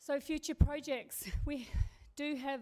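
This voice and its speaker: A woman with an Australian accent talks in a dark, mellow tone. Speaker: community radio station manager. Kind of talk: presentation to council. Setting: council meeting. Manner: fast.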